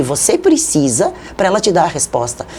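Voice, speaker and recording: A woman at a moderate pace, over noticeable background noise. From southern Brazil (Rio Grande do Sul). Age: 60s. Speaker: journalist and media consultant. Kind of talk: interview.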